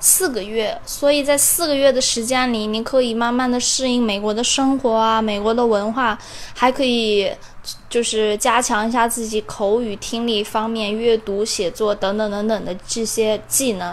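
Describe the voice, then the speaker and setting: A woman's fairly high voice, an ordinary speaking voice, at a moderate pace with fairly even intonation. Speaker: community college student. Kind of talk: personal testimony.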